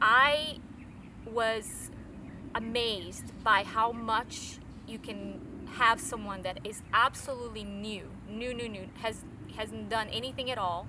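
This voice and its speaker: A woman speaks at a very slow pace in a fairly high voice with fairly even intonation. Her loudness swings widely, and the room echo is audible. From Brazil. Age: 40s. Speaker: fitness trainer. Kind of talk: interview. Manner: halting, many fillers and repeats.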